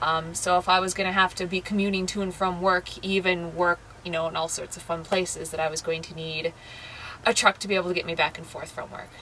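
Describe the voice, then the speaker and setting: With an American accent, a woman speaks very fast in a flat monotone, her loudness swinging widely over noticeable background noise. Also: medium pitch for a woman. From US Midwest, Madison, Wisconsin. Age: 20s. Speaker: full-time RVer, seasonal worker. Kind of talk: casual interview, personal story and RV tour. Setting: inside her travel trailer. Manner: casual, with many fillers.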